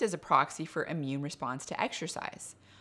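Her tone comes across as bright and sharp. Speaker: presenter. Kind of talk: science explainer. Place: kitchen. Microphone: studio mic.

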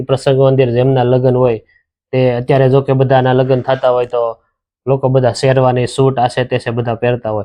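This man speaks at a medium pitch with a flat, monotone intonation. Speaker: channel host interviewing an elder. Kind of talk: casual interview questions to camera.

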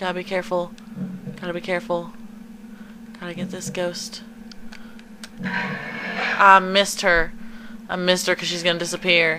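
A woman's medium-pitched, monotone, flat voice at a moderate pace, with big swings in loudness, long, frequent pauses and noticeable background noise. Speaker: gaming video creator. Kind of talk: let's play commentary. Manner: quieter than usual. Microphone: capture device audio with crackling noise.

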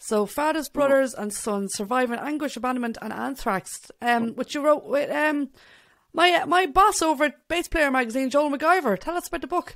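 Against a quiet background, a woman with an Irish accent speaks at a moderate pace in a high voice with lively intonation. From Ireland. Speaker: podcast host and bassist. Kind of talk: casual interview. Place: home room. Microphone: studio mic.

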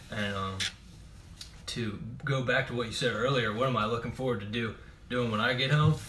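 With light background noise behind him, a man at medium pitch talks at a fairly quick pace, using fairly even intonation and long, frequent pauses. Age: 20s. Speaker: army reservist. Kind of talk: casual chat. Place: home room. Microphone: webcam.

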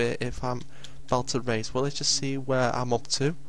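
Over light background noise, a man speaks with fairly even intonation in a dry sound with no echo. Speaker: gamer. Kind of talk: gameplay commentary.

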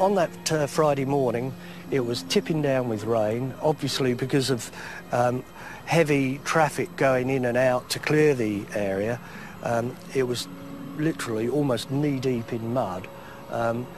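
At a fairly slow pace with ordinary pitch variation, the voice sounds dry with no echo, and faint music plays in the background. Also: man. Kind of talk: interview answer. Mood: sober, measured. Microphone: lapel.

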